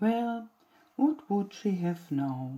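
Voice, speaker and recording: A woman puts on a character voice at a medium pitch. Her pitch swings very widely. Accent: German. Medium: read story.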